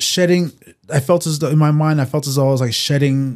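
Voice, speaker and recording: The man's voice sits fairly high, with fairly even intonation. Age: 40s. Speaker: guest sharing bipolar disorder story. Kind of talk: casual chat. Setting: studio. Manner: halting.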